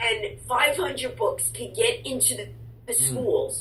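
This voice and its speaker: Noticeable background noise runs under the voice. The delivery comes at a fairly slow pace. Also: woman. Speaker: author and speaker. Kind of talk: interview answer.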